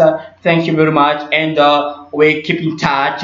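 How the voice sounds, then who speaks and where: Amid audible room echo and noticeable background noise, a man speaks very slowly. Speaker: English teacher. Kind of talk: tutorial.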